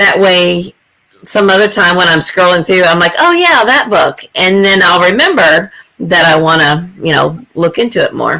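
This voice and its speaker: Medium in pitch, a woman speaks at a moderate pace in a bright, sharp tone. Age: 50s. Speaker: booktuber. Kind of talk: casual chat.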